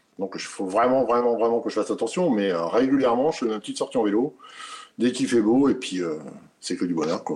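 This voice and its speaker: Lively intonation and a fairly quick pace in an unremarkable speaking voice. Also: man, medium pitch for a man. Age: 50s. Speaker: truck driver and patient. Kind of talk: testimony.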